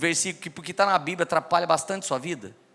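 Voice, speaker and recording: A man talks at a very fast pace in a high voice, with music playing behind him. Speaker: preacher. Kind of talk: sermon. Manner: animated.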